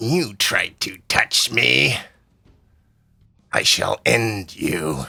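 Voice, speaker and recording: A man growls in a put-on character voice at a fairly low pitch with very wide pitch swings. He goes at a very slow pace with long, frequent pauses. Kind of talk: goblin-like. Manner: snarling, menacing.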